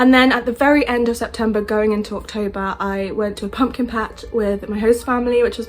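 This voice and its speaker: There is noticeable background noise as a woman speaks at a fairly quick pace with a fairly high pitch. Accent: British. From England. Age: 20s. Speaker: au pair. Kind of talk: casual talk to camera. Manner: upbeat.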